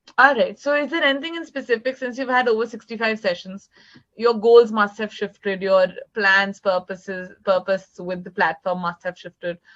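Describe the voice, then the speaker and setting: A woman's fairly high voice with an Indian accent, lively intonation and a moderate pace. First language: Hindi. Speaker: English tutor. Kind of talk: online tutoring session.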